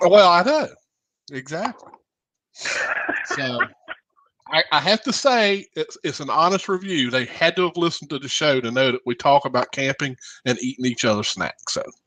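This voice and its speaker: Moving at a moderate pace, a man with a Southern US accent speaks in a high pitch with very wide pitch swings, the sound dry and close with no echo. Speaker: radio show host. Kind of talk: casual chat.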